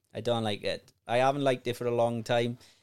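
Talking at a fairly quick pace, a man with a Welsh accent speaks at a medium pitch. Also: very clean recording, silent background. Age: 30s. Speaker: podcast host. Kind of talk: casual chat.

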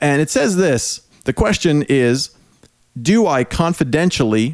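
Speaking in an ordinary speaking voice, a man uses lively intonation at a fairly slow pace and a fairly high pitch. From Prince Edward Island, Canada. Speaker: podcast host. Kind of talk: casual chat.

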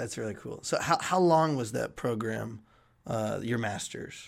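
The delivery comes at a fairly slow pace with lively intonation. It is a normal speaking voice. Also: man. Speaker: podcast co-host, graduate student. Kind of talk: interview.

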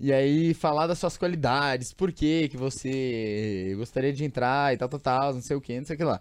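A man speaks at a moderate pace in an ordinary speaking voice, fairly high in pitch with ordinary pitch variation. The background is quiet. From São Paulo state interior, Brazil. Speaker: podcast host. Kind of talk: casual chat. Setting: studio.

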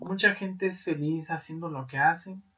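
Using a fairly slow pace, a man with a Mexican accent speaks in a high pitch. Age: 20s. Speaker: podcast host. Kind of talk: casual monologue.

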